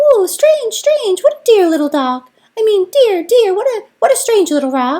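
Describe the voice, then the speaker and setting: In a put-on character voice pitched extremely high, the speaker swings very widely in pitch at a moderate pace. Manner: funny, flustered.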